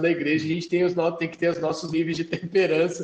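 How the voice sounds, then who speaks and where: A man speaks with an interior Paraná accent. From Mamborê, Paraná, Brazil. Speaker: podcast co-host. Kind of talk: casual chat.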